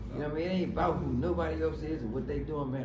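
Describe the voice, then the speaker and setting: A man is speaking. The recording has audible room echo and noticeable background noise. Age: 60s. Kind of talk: casual chat. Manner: animated.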